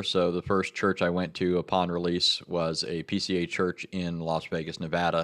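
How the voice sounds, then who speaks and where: The pitch of this man's voice is very deep and low. He talks in an American accent. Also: very clean recording, silent background. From Southern California. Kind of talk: casual interview.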